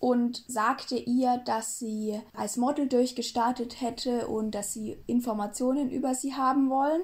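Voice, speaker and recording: A woman's high voice at a fairly slow pace with fairly even intonation. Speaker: true crime podcast co-host. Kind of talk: casual storytelling chat.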